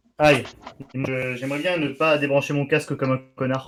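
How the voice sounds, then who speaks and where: At a moderate pace, a man with a southern French accent speaks in a fairly high pitch with monotone, flat intonation. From southern France. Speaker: gaming streamer. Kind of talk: casual chat.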